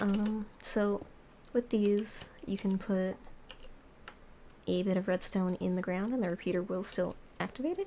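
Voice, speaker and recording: A quiet woman's voice at a moderate pace with fairly even intonation and long, frequent pauses. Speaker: Minecraft note block cover maker. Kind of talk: casual tutorial commentary over gameplay.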